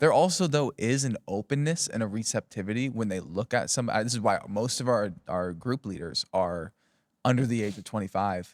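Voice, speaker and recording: A man with a plain, everyday voice and medium pitch talks at a moderate pace with lively intonation. The recording is very clean with a silent background and a dry, close sound with no echo. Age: 20s. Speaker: pastor. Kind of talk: casual chat.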